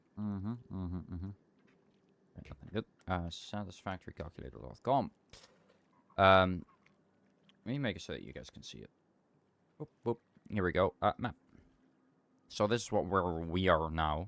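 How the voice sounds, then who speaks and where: A man with a Dutch accent speaks in a very deep, low voice with lively intonation, big swings in loudness, and long, frequent pauses, the sound dry and close with no echo. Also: moderate pace. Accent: Dutch accent, noticeable today. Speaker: game streamer. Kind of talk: casual live-stream commentary while gaming.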